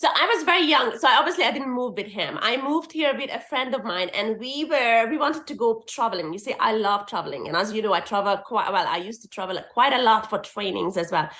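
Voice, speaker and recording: Over noticeable background noise, a woman talks at a very fast pace. Her pitch is fairly high and her intonation lively. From Hungary. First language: Hungarian. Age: 40s. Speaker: permanent makeup artist and teacher. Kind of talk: casual interview chat.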